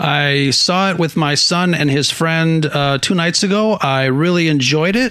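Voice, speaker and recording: A man's fairly high voice with ordinary pitch variation, very even loudness and hardly any pauses, against noticeable background noise. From Mexican heritage. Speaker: podcaster guest. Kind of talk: casual chat.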